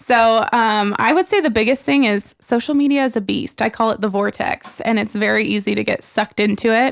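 Speaking in an ordinary speaking voice, a woman keeps her loudness very even and her pitch variation ordinary. She barely pauses at all. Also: fairly high pitch for a woman, fairly quick pace, very clean recording, silent background. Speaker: real estate agent and social media speaker. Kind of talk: casual podcast interview. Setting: studio.

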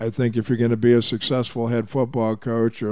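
With an American accent, a man talks at a medium pitch in a dark, mellow tone and monotone, flat intonation. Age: 60s. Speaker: retired football coach. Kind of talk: casual interview.

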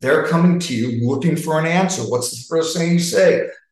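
Fairly high male pitch with an American accent and ordinary pitch variation, set in audible room echo. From New York. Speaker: sales leadership coach. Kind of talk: interactive webinar talk.

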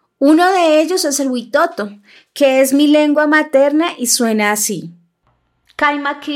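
A woman talks at a very slow pace. Her pitch varies an ordinary amount. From Bogotá, Colombia. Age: 30s. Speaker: podcast narrator, political scientist. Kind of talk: scripted narration.

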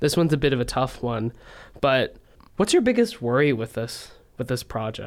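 Ordinary pitch variation marks a plain, everyday voice that goes along at a moderate pace. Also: man, medium pitch for a man. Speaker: student radio reporter. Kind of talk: radio interview, reporter asking questions.

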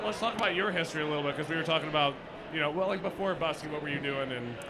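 A man with a Midwestern American accent talks at a very fast pace and a fairly high pitch. His pitch variation is ordinary, and there is noticeable background noise.

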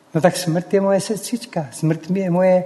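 A man's high voice at a fairly quick pace, with ordinary pitch variation over noticeable background noise. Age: old. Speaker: former pilot. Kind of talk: public talk.

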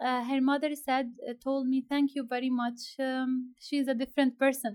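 The voice moves at a moderate pace. Its intonation is monotone and flat. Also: woman. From Syria, Aleppo. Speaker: aid communications worker. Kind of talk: interview. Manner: halting, many fillers.

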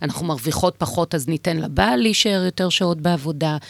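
An unremarkable speaking voice at a moderate pace, dry and close with no echo, on a very clean recording with a silent background. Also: woman. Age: 50s. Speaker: women's organization chair. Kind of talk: radio interview. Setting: radio studio.

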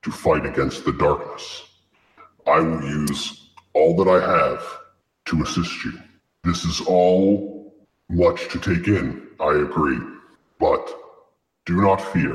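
In a put-on character voice with a very deep, low pitch, a man talks at a fairly slow pace with long, frequent pauses and clear echo. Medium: actual play. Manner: solemn, formal, measured.

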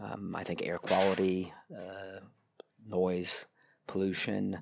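A man with a fairly low voice is heard on a very clean recording with a silent background. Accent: American. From United States. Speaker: mobility industry consultant. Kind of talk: interview. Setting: hotel restaurant. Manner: halting, many repetitions.

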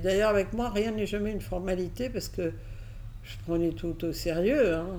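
A woman at a moderate pace amid audible room echo. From Catalonia, Spain, moved to France at 6. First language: Catalan/Spanish (speaking French). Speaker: advertising agency founder. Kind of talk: interview, personal story. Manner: hesitant, many fillers.

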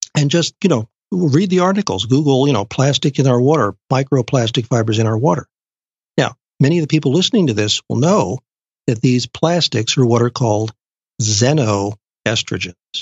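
A man's somewhat breathy voice at a medium pitch, with lively intonation, very even loudness and a moderate pace. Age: 60s. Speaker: genetic nutrition expert. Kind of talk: interview.

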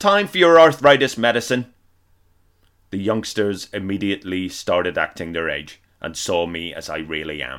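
Over a silent background in a very clean recording, a man with a fairly low pitch talks at a moderate pace, with very wide pitch swings and big swings in loudness. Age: 40s. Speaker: comedian. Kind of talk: reading aloud; casual chat.

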